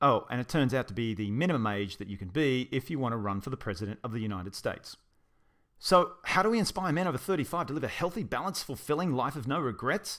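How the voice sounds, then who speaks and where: In a very clean recording with a silent background, a man with an Australian accent speaks very fast with very wide pitch swings. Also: medium pitch for a man. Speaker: personal trainer and event co-founder. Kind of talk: narrated promotional video. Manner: casual, humorous.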